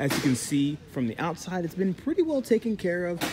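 Noticeable background noise runs under the voice. The pace is moderate. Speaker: car salesman. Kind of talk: sales walkaround commentary. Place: shop.

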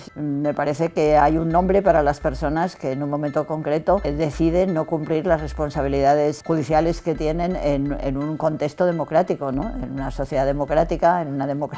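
A woman's very deep, low voice with fairly even intonation, hardly any pauses, and faint music in the background. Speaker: interviewee. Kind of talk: interview answer. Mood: calm, thoughtful, occasional laugh. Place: studio. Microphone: lapel.

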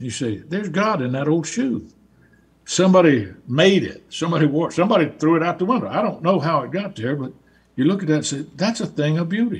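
With a Southern US accent, a man talks at a fairly quick pace in a fairly high voice with lively intonation.

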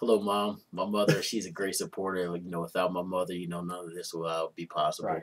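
With an American accent, a man talks at a very fast pace with hardly any pauses, his very deep, low voice held in a monotone, flat intonation. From West Philadelphia; Philadelphia. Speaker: internal auditor, fraternity foundation treasurer; interview guest. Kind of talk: interview. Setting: studio. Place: studio.

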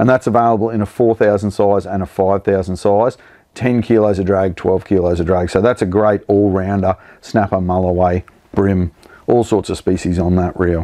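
This man's voice is low in pitch, with a dark, mellow tone and fairly even intonation. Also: moderate pace.

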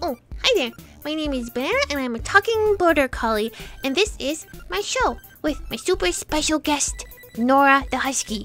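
A female-sounding, put-on character voice speaks at a high pitch and a moderate pace. Faint music plays in the background. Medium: dub. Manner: upbeat.

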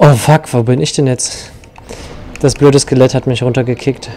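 Noticeable background noise surrounds a man who talks at a moderate pace. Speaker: video game player. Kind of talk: casual chat while gaming co-op. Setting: online voice chat while playing.

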